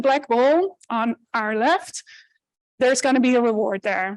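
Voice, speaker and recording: A woman speaks loudly with a Dutch accent and a high pitch. Her pace is fairly slow, with ordinary pitch variation. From Netherlands. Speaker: animal welfare researcher. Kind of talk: conference talk.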